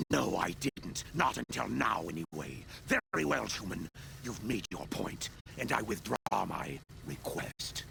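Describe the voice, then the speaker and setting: In a put-on character voice, a man speaks with a very deep, low pitch and a menacing tone at a moderate pace. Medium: video game. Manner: blunt, menacing.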